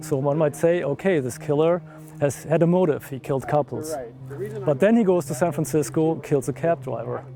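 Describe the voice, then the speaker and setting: With a German accent, the speaker keeps a moderate pace and ordinary pitch variation. Music plays behind the voice. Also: man. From Germany. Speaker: amateur investigator. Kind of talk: documentary interview.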